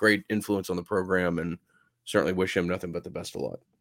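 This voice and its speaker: In a very clean recording with a silent background and a dry, close sound with no echo, a man speaks with a very deep, low pitch and fairly even intonation. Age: 40s. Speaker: sports podcast co-host. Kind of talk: casual chat. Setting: video podcast.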